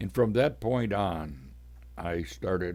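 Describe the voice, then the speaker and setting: A man speaks at a very slow pace with vocal fry. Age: 80s+. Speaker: podcaster. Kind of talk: personal storytelling. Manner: casual.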